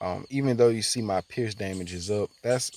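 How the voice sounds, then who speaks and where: Speaking at a fairly quick pace with fairly even intonation, a man comes through with a dry, close sound and no echo. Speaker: gaming YouTuber. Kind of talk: gameplay commentary. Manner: halting, many fillers and repetitions; casual.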